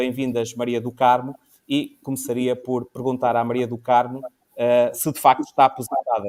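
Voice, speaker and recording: Speaking at a moderate pace with a European Portuguese accent, a man uses a medium pitch and a monotone, flat intonation. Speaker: talk show host. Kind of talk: informal panel discussion.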